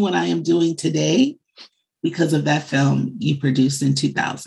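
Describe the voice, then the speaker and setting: A woman speaks with an American accent and lively intonation. Her pace is fairly slow, with vocal fry. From Chicago, US Midwest. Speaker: media marketing executive. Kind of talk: interview.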